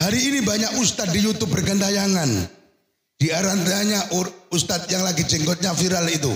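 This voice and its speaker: Speaking at a fairly quick pace, a man has a high pitch, ordinary pitch variation and very even loudness. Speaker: Islamic preacher. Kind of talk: religious sermon. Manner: fiery, forceful.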